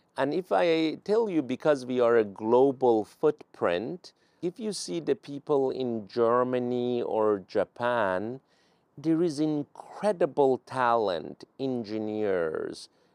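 A man with a Persian accent at a medium pitch, lively in intonation and very slow in pace, in a dry, close sound with no echo. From Iran, Tehran. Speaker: venture capital investor. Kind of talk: interview.

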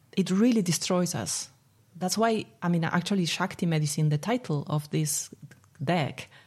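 A woman with an Argentine accent, somewhat breathy, at a moderate pace. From Argentina, Buenos Aires. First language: Spanish. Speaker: spiritual coach and therapist. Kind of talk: interview. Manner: laughs often.

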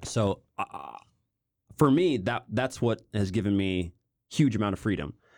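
Fairly low male speech with lively intonation, a fairly slow pace and long, frequent pauses. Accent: American. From US Midwest, Kansas City. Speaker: professional footballer and YouTuber. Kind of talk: casual interview.

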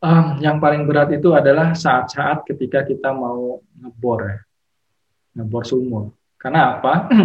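Somewhat breathy, a man's voice carries ordinary pitch variation. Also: fairly high pitch for a man, moderate pace. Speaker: petroleum geologist. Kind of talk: casual interview chat.

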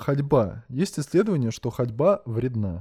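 A man with a dark, mellow tone speaks in very wide pitch swings, recorded dry and close with no echo, very clean against a silent background. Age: 20s. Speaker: podcast host. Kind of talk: solo monologue. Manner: casual.

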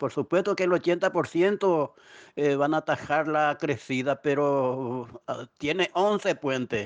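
A man with a fairly high pitch and ordinary pitch variation at a very slow pace, in a dry, close sound with no echo and a quiet background. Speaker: neighborhood community representative. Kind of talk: interview testimony. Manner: halting, with fillers.

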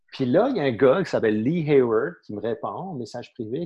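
Lively intonation carries speech delivered at a moderate pace. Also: man. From Saint-Pierre-et-Miquelon. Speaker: entrepreneur. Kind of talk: casual interview. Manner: halting, many repetitions and fillers.

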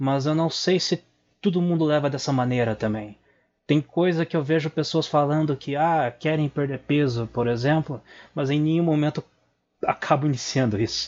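A man with a plain, everyday voice speaks at a moderate pace, fairly high in pitch, with ordinary pitch variation. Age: 20s. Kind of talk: recorded voice message.

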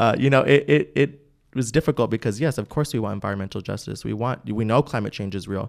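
In a very clean recording with a silent background, a man speaks at a very fast pace with vocal fry. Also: medium pitch for a man, ordinary pitch variation. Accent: American. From Bakersfield, California (US). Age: 20s. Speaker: county party chairman. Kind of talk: casual interview. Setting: studio.

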